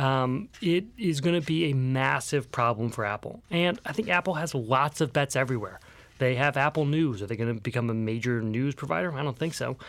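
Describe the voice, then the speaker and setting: With hardly any pauses, a man with a plain, everyday voice and medium pitch talks at a fairly quick pace on a very clean recording with a silent background. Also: lively intonation. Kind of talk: casual chat.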